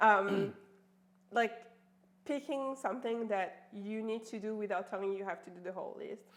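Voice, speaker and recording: A woman's fairly high voice in a French accent, with ordinary pitch variation, big swings in loudness, and long, frequent pauses. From France. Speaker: life coach. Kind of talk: casual chat. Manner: fast; animated.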